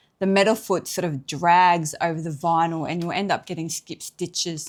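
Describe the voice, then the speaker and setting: A woman with an Australian accent, fairly low-pitched, at a moderate pace with fairly even intonation. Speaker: sewing teacher. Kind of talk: tutorial. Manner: casual.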